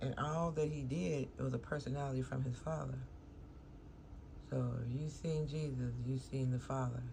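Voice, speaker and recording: A woman mumbles at a moderate pace in a very deep, low pitch, with very even loudness, fairly even intonation and long, frequent pauses. Noticeable background noise and audible room echo fill the recording. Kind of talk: casual vlog talk. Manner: mumbling; casual, meandering.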